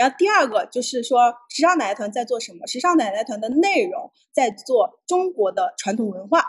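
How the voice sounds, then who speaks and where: A high-pitched woman at a moderate pace with very wide pitch swings, big swings in loudness and hardly any pauses. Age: 30s. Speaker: entrepreneur, founder of a senior fashion group. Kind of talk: livestream talk sharing business experience. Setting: livestream.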